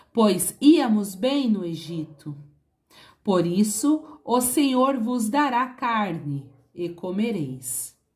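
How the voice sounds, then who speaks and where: A somewhat breathy woman with a fairly high pitch speaks at a very slow pace, making very wide pitch swings. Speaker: Bible reader. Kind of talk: Bible reading.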